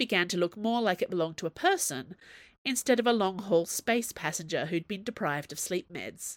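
The recording is simply plain reading aloud.

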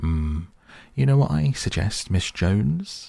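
Putting on a gruff character voice, a man speaks slowly in a dark, mellow tone with vocal fry and big pitch swings. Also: fairly low pitch for a man.

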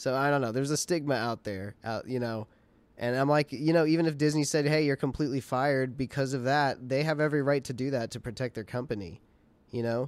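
A man holds a medium pitch and ordinary pitch variation while talking at a very fast pace. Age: 20s. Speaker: podcast co-host. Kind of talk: casual chat.

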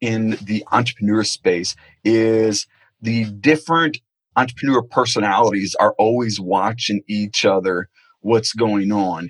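A man with an American accent and an unremarkable speaking voice, at a fairly slow pace, in dry, close sound with no echo. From Florida, Naples. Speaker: internet marketing expert. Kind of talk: interview conversation.

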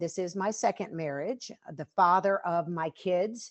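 A woman talks with an American accent. Her pace is very slow. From Western North Carolina. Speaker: bereaved mother and fitness trainer. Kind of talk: interview testimony.

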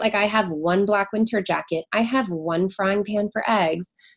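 In a General American accent, a woman with a normal speaking voice talks at a fairly slow pace and a medium pitch with ordinary pitch variation. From US Pacific Northwest, Seattle. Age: 40s. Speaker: marketing executive and podcaster. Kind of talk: casual interview chat.

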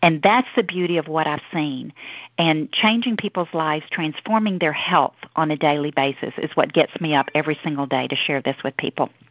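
A woman with a Southern US accent, very deep, low pitch, ordinary pitch variation and a fairly quick pace. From US South. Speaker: network marketing leader. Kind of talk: team call presentation. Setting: phone call.

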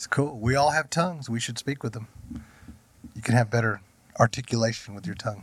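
A somewhat breathy man at a medium pitch speaks fairly quickly but with long, frequent pauses, big swings in loudness and ordinary pitch variation. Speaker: pastor. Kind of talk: casual chat.

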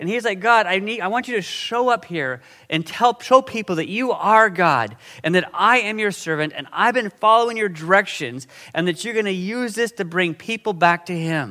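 A man projects a raised voice at a high pitch. His tone is bright and sharp, and his intonation lively. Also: moderate pace. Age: 50s. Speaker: guest preacher. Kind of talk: sermon. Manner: casual.

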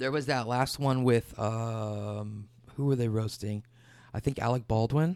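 A man with a Midwestern American accent, at a fairly slow pace and with fairly even intonation. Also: medium pitch for a man. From Michigan, near Detroit. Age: 20s. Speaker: musician. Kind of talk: casual chat.

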